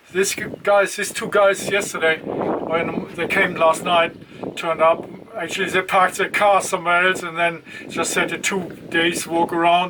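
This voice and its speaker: Noticeable background noise sits behind the speaker. The man's pitch is high and his intonation flat and monotone. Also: moderate pace. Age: 60s. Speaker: solo hiker vlogger. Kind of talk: casual vlog monologue. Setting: outdoors at a bus stop. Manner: hesitant, many fillers.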